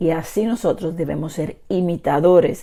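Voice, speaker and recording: A loud woman speaks very slowly, her fairly low voice dark and mellow in tone. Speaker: bible teacher. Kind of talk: sermon. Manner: trying to speak louder.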